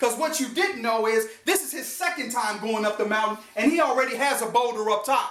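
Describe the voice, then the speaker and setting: In an animated tone, a man with an extremely high pitch and very wide pitch swings talks at a moderate pace amid audible room echo. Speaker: motivational speaker. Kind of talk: motivational talk.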